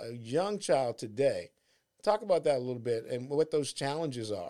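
A man's dark, mellow, fairly high-pitched voice with an American accent. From Washington, D.C. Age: 60s. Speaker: podcast host, entrepreneur and author. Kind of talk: casual interview chat. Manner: halting, many fillers.

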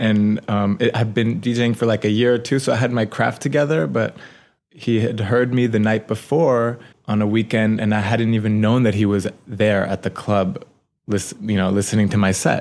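In a New York accent, a man talks at a fairly low pitch with ordinary pitch variation and very even loudness, in a very clean recording, silent background. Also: moderate pace. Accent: New York American. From New York City (Manhattan). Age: 30s. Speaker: DJ and artist. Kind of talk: casual interview. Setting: recording studio. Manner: hesitant, with many fillers.

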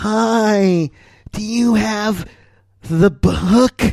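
A put-on character voice at a fairly high pitch

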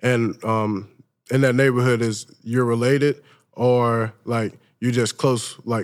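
A man with an Alabama accent speaks in a flat monotone at medium pitch, in a very clean recording with a silent background. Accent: Southern US (Alabama). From US South, Mobile, Alabama. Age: 20s. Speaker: college football player. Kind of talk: interview. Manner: hesitant, many fillers.

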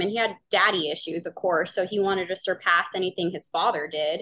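This woman has a bright, sharp tone and medium pitch with ordinary pitch variation. She moves at a fairly quick pace with hardly any pauses. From US South, New Orleans, Louisiana. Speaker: podcast host telling family stories. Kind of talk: casual chat.

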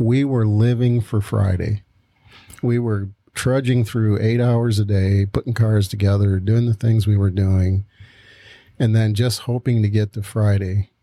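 A fairly low, dark, mellow male voice with monotone, flat intonation. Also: fairly slow pace, dry, close sound with no echo. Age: 60s. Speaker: pastor and podcast co-host. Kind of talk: casual chat.

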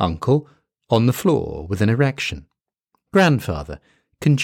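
Lively intonation in an unforced reading voice, set against a quiet background.

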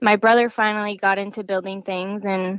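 A woman with an American accent talks at a fairly quick pace and fairly high pitch. It's a normal speaking voice, with a dry, close sound with no echo. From Arizona, US. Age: 20s. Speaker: off-road racer. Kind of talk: casual interview.

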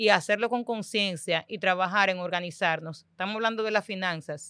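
Medium in pitch with a bright, sharp tone, a woman speaks at a moderate pace with ordinary pitch variation, in a dry, close sound with no echo on a very clean recording with a silent background. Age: 30s. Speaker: financial educator. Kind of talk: casual chat.

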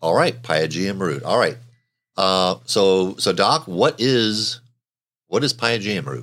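Speaking very slowly in a fairly low pitch, a man shows vocal fry and very wide pitch swings. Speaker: podcast host. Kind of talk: casual interview chat.

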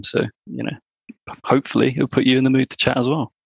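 The speaker has an English accent, and the background is quiet. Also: man, dry, close sound with no echo. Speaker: marketing worker. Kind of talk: casual chat.

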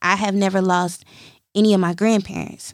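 Her voice is animated, a woman at a medium pitch speaking at a moderate pace. The recording is very clean, with a silent background. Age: 30s. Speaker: podcast host. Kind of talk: casual monologue.

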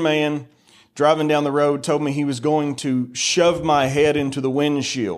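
At a moderate pace, a man speaks in a fairly high pitch with an American accent. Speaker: preacher. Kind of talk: sermon. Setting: church. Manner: loud; animated.

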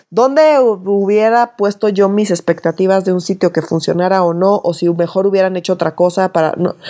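A woman speaks with a Mexican accent at a medium pitch. Her tone is dark and mellow, with ordinary pitch variation. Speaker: political podcast host. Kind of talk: casual chat.

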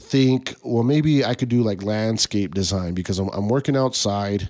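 A man with a fairly low pitch and a normal speaking voice talks at a moderate pace with lively intonation. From Tucson, Arizona (west side). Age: 30s. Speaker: artist and clothing designer. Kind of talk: casual interview chat.

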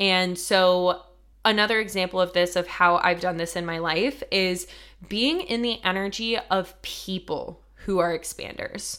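With an American accent and a bright, sharp tone, a woman talks at a fairly slow pace. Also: medium pitch for a woman, very clean recording, silent background. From US, rural Colorado. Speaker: podcast host and manifestation coach. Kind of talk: solo monologue. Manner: casual, enthusiastic.

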